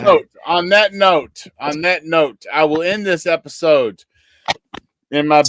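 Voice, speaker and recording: Talking at a very slow pace, a man with a high pitch and a Kentucky accent shows ordinary pitch variation. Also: dry, close sound with no echo. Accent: Kentucky country. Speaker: podcast host. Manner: playful, jokey.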